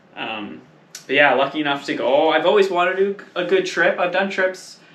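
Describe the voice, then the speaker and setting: A man's pitch varies normally as he talks through noticeable background noise. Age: 30s. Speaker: motorcycle traveller. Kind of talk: casual chat.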